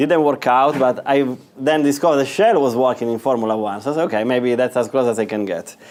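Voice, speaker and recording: A medium-pitched man's voice with an Italian accent. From northern Italy. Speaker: business executive. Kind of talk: guest lecture. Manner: halting, many fillers.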